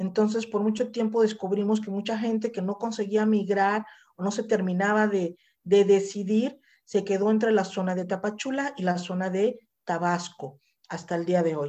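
Against a quiet background, a woman speaks at a moderate pace in a dark, mellow tone, with a medium pitch and fairly even intonation. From Mexico, Mazatlán, Sinaloa. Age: 50s. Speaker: activist. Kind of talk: interview.

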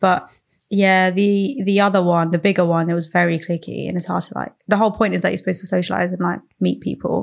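With a London accent, a woman speaks at a very fast pace. Her fairly low voice has vocal fry and fairly even intonation. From south London, England (Croydon), Sri Lankan Tamil family. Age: 20s. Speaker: podcast guest. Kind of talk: casual chat.

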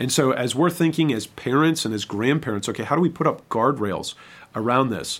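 An unremarkable speaking voice with an American accent, at a fairly quick pace with ordinary pitch variation. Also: man, medium pitch for a man. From Michigan. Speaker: pastor. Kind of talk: podcast interview.

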